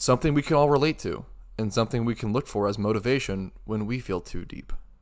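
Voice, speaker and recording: The speaker has a serious tone and ordinary pitch variation. The pace is very fast. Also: man, medium pitch for a man. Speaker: game reviewer. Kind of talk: scripted video essay narration. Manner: serious in tone.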